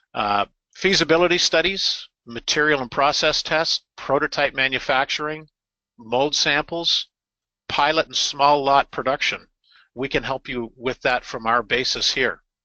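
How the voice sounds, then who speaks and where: With a Canadian accent, a man talks at a fairly slow pace, his fairly high pitch showing ordinary pitch variation. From Canada. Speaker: injection machine installation and repair specialist. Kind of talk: webinar presentation. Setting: online webinar. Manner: halting, frequent filler words.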